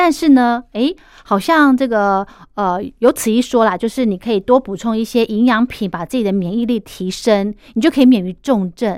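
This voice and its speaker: Over a silent background in a very clean recording, a woman with a fairly high pitch talks at a moderate pace with lively intonation. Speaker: podcast host. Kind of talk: casual interview chat.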